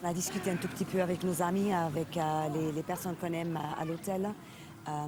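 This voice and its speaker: The speech comes at a very fast pace in a monotone, flat intonation, with noticeable background noise. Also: woman. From Switzerland. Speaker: tourist. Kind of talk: interview. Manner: halting.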